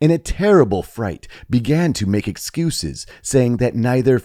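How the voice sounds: Lively intonation stands out. The voice is a natural reading voice.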